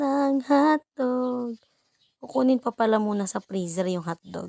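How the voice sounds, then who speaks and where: Very slowly and with lively intonation, a woman speaks in a dark, mellow tone, the sound dry and close with no echo on a very clean recording with a silent background. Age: 20s. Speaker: vlogger, mother. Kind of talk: casual vlog narration. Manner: playful, self-mocking.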